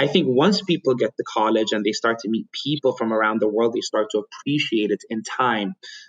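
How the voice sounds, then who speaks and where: A man with an Ethiopian accent and medium pitch talks at a fairly quick pace in a dry, close sound with no echo. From Ethiopia and Yemen. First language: Amharic. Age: 30s. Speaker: private equity investor. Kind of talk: interview.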